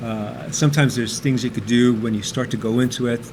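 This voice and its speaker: Noticeable background noise runs under a man's speech. His medium-pitched voice moves at a fairly quick pace with fairly even intonation. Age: 60s. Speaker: computer programmer and amateur cyclist. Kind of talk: casual interview. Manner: hesitant, many fillers.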